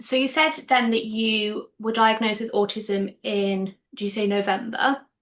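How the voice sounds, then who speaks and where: With an ordinary speaking voice, a woman talks at a moderate pace, fairly high in pitch, with ordinary pitch variation. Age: 20s. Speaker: podcast host. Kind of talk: casual interview.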